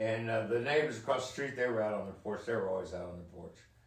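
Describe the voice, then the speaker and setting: The man's voice is medium in pitch. Room echo is audible and background noise is noticeable. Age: 60s. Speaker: father recounting his life. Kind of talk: casual chat.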